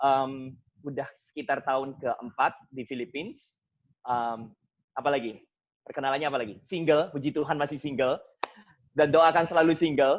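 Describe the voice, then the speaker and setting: At a moderate pace, a man talks in a fairly high pitch. His intonation is fairly even. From Indonesia, Surabaya (East Java). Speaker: seminarian and Bible study speaker. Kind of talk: Bible study talk. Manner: casual, mixing English phrases.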